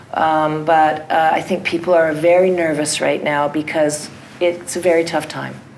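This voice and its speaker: A woman in a Canadian accent speaks at a moderate pace with a very deep, low pitch and monotone, flat intonation. Noticeable background noise and audible room echo fill the recording. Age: 60s. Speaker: theatre artist. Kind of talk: audience Q&A.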